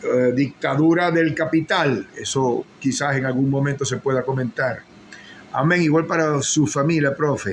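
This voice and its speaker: A man's fairly high pitch with ordinary variation, at a fairly slow pace, amid noticeable background noise. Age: 60s. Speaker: political commentator. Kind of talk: live-stream political commentary.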